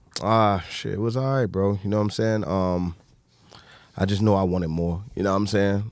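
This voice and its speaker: An American accent at a moderate pace in a very clean recording with a silent background. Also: man. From US South, Alabama. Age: 30s. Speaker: entrepreneur. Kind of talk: casual chat.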